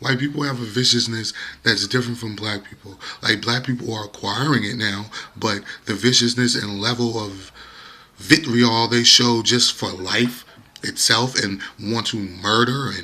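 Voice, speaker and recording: With noticeable background noise present, the talking proceeds at a moderate pace. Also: man, medium pitch for a man. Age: 30s. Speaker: YouTuber. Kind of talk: casual monologue vlog. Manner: animated.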